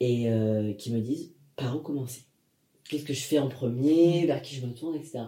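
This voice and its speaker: A man's dark, mellow, somewhat breathy voice at medium pitch, with ordinary pitch variation. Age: 20s. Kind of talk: casual interview conversation.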